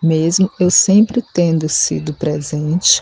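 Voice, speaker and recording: Against noticeable background noise, a woman with a very deep, low voice speaks very slowly and with fairly even intonation. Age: 40s. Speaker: single mother. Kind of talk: personal testimony.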